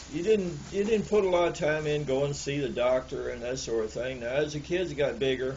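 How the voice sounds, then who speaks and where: Noticeable background noise and audible room echo surround a man with a Southern US accent. He speaks at a moderate pace in a fairly high pitch with lively intonation. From US South, Alabama. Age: 70s. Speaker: elderly storyteller recalling the past. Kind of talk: oral history interview. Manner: halting, many repeated words.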